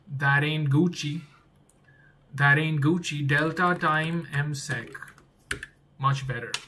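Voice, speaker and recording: Speaking very slowly with long, frequent pauses, a man with a non-native accent uses a fairly high, monotone, flat voice. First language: not English. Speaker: game developer streamer. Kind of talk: live coding stream. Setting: live stream. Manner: thinking aloud, repetitive.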